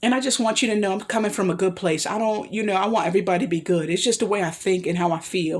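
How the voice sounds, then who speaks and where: Talking at a very fast pace, a woman rushes through her words. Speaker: vlogger giving life advice. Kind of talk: solo vlog monologue. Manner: halting, tripping over words.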